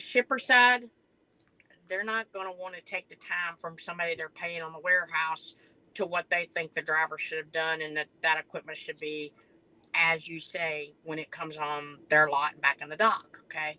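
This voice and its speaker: At a moderate pace, a woman speaks in a bright, sharp tone with ordinary pitch variation and big swings in loudness, the sound dry and close with no echo. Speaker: professional truck driver. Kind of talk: podcast interview. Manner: halting, many restarts.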